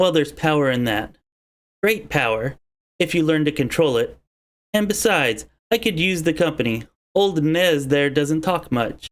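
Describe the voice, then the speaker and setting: Using a put-on character voice, a man speaks at fairly high pitch with long, frequent pauses. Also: moderate pace. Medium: solo performance. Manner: blunt, plainspoken.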